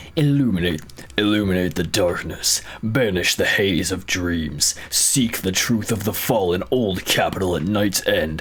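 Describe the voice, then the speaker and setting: Using a put-on character voice, a man speaks at a moderate pace with a fairly low pitch over clear background noise. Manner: dramatic, solemn.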